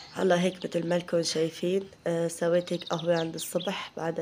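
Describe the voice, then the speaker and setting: Over noticeable background noise, a woman speaks at a moderate pace in a fairly low pitch. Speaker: home cooking vlogger. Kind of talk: casual vlog chat.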